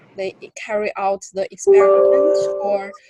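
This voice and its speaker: Over music in the background, a woman with a non-native accent is heard in a dry, close sound with no echo. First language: not English. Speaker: graduate student mentee. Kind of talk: workshop introduction. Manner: halting.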